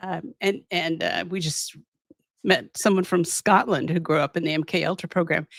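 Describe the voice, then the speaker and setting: Vocal fry marks this woman's American accent as she speaks at a fairly slow pace. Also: dry, close sound with no echo. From Southern California. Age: 70s. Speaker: physician and abuse survivor. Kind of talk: interview testimony. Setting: podcast interview. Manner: halting, many restarts and fillers.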